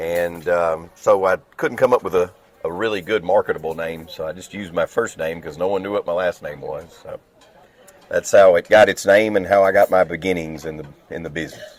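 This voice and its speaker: A man with a strong Southern accent speaks at a fairly quick pace, with big swings in loudness. The sound is dry and close with no echo, though noticeable background noise is present. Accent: thick Southern. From US South, Clarksville, Tennessee. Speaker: restoration business owner. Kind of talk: podcast interview. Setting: on a cruise ship.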